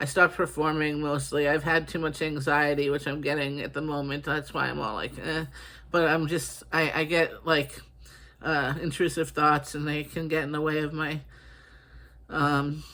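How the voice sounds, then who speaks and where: A man with a slight Boston accent speaks in a monotone, flat way. His voice has a bright, sharp tone and fairly high pitch. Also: moderate pace. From Boston, US. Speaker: writer and artist. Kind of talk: casual monologue. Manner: halting, many fillers.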